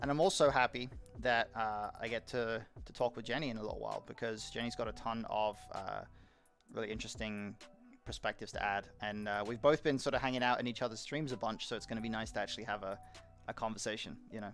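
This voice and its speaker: A man speaking very fast at a medium pitch, with a fairly even intonation, an American accent and music in the background. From UK. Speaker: live streamer. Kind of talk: casual live-stream chat. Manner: halting, many fillers and repeats.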